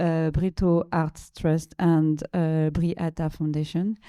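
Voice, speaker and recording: Dark, mellow tone from a woman with a French accent, in a very clean recording with a silent background. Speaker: panel moderator, curator and researcher. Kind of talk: panel discussion moderation. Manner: halting, many fillers and repetitions.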